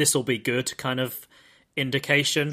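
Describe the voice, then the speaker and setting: A man with a British accent, fairly high pitch and a bright, sharp tone, at a moderate pace with monotone, flat intonation, on a very clean recording with a silent background. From Britain. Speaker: podcast host. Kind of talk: casual chat.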